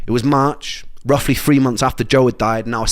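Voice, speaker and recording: At a very fast pace, a man speaks in a Welsh accent with fairly even intonation. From Wales. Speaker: musician telling his illness story. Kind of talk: personal narration.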